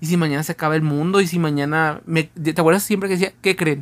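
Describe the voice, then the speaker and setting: Fairly high-pitched and animated in tone, a man talks with ordinary pitch variation in a very clean recording with a silent background. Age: 20s. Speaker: podcast co-host. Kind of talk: casual chat.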